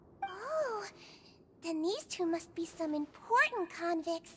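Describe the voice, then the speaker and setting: A woman uses a put-on character voice pitched extremely high and speaks at a fairly slow pace. Clear background noise runs underneath. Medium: video game. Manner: gentle, warm, caring.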